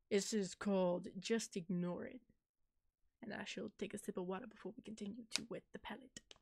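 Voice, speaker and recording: Somewhat breathy, a woman talks at a fairly quick pace in a dry, close sound with no echo. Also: medium pitch for a woman, fairly even intonation. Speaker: horror story narrator. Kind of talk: casual livestream talk to audience.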